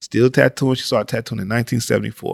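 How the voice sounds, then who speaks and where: In a dry, close sound with no echo, a man talks at a medium pitch with fairly even intonation in a plain, everyday voice. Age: 40s. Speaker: tattoo artist and painter. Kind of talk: casual interview chat. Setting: studio.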